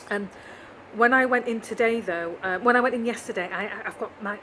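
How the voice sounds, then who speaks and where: Someone talks at a fairly quick pace with fairly even intonation over noticeable background noise. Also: woman. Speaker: vlogger. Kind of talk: video diary.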